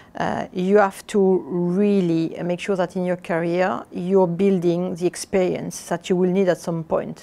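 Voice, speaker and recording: A woman's medium-pitched voice in a French accent, dark and mellow, monotone and flat, at a fairly slow pace with hardly any pauses. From southern France, Avignon. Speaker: airline executive. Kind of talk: interview. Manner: halting, many fillers.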